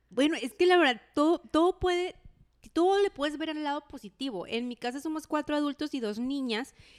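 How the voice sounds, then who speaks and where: A woman with a northwestern Mexican accent, high pitch, lively intonation and a fairly quick pace, in a dry, close sound with no echo on a very clean recording with a silent background. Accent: northwestern Mexican (Sinaloa) Spanish. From Los Mochis, Sinaloa, Mexico. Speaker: podcast co-host. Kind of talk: casual chat.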